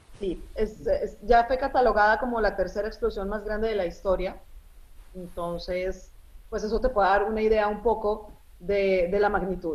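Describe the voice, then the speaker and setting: At a moderate pace, a woman talks in an ordinary speaking voice at a medium pitch with fairly even intonation. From Colombia (from age 10), born in Lebanon. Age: 40s. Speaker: journalist. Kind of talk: interview.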